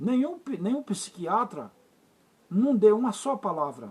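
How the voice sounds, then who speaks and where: Speaking at a fairly slow pace, a man swings his pitch very widely. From Recife, Brazil. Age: 60s. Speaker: vlogger. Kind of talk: personal monologue to camera. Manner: halting.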